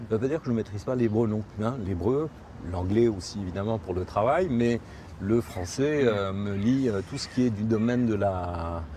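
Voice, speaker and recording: This man talks at a moderate pace with a fairly low pitch and ordinary pitch variation. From Morocco (Tangier). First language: Spanish (speaking French). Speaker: interviewee recounting his emigration to Israel. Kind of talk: interview testimony. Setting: outdoors on a promenade in Jerusalem. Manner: hesitant, with repetitions.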